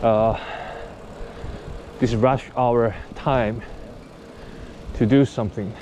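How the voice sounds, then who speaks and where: With a Japanese accent, a man speaks at a very slow pace with long, frequent pauses, a medium pitch and flat, monotone intonation over noticeable background noise. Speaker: cycling vlogger. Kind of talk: vlog narration while riding. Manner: halting.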